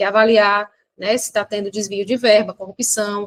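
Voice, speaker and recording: A woman's fairly high-pitched voice. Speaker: exam prep teacher. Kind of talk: lecture. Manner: fast; animated.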